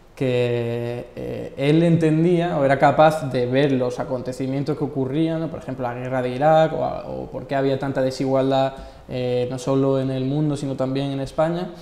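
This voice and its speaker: Amid noticeable background noise and audible room echo, a man with an Andalusian accent speaks at a medium pitch and moderate pace, flat and monotone, with hardly any pauses. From Andalusia, Spain (Marchena, Seville; Málaga). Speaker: economist. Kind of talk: interview. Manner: hesitant fillers.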